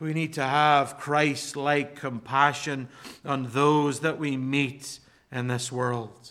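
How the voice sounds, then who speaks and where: At a very slow pace, a man talks in a monotone, flat intonation with a bright, sharp tone and a fairly high pitch. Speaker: pastor. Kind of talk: sermon. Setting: church.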